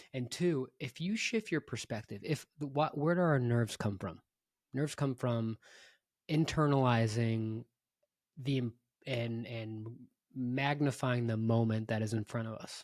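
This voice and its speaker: Speaking at a fairly slow pace with long, frequent pauses, a man with medium pitch is heard on a very clean recording with a silent background and a dry, close sound with no echo. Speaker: podcast co-host. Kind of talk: casual chat. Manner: tends to monotone pitch.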